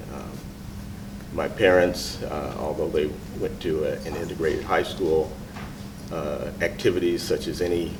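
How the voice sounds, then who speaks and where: Amid noticeable background noise and audible room echo, a man with an American accent talks at a moderate pace. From Lawrence, Kansas, US Midwest. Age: 60s. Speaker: former student interviewee. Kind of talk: interview. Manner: halting, many fillers.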